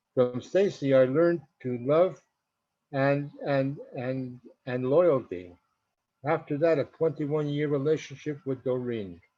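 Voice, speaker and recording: A man with a fairly high pitch and a dark, mellow tone speaks at a fairly slow pace. His pitch varies in an ordinary way, broken by long, frequent pauses. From Canada, Montreal. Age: 80s+. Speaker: community member. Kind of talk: personal life story. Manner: halting, repeats words.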